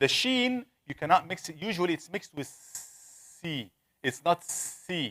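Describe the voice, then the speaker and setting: The speaker talks at a fairly slow pace with an Arabic accent. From Egypt. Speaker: Quran recitation teacher. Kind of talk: lecture.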